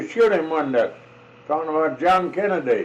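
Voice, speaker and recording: With an American accent and lively intonation, a man speaks against noticeable background noise. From South Dakota, USA. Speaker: farmer. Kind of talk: reminiscing storytelling. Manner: slow, halting.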